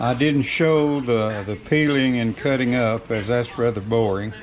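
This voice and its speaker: Through noticeable background noise, a man at a medium pitch speaks at a fairly slow pace with fairly even intonation. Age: 80s+. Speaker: farm homemaker. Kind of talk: casual cooking demonstration to camera.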